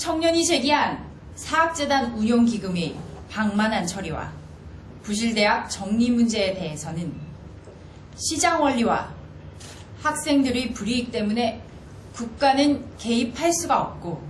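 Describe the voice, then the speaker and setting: The voice moves at a very slow pace with long, frequent pauses and very wide pitch swings. Noticeable background noise sits behind it. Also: woman, fairly high pitch for a woman. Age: 30s. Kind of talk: spokesperson press briefing.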